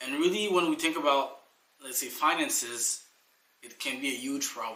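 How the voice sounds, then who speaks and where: A man speaks with a French accent at a fairly high pitch. His pace is fairly slow and his pitch variation ordinary. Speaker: life coach. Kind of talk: motivational talk. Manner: casual, with fillers.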